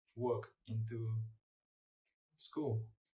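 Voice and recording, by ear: A man's medium-pitched voice, slow and with little pitch movement, in audible room echo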